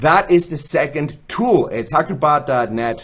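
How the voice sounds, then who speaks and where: This man's voice is fairly high in pitch. It carries vocal fry. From Switzerland. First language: Arabic. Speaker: gaming channel host. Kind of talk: tutorial. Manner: casual, with fillers.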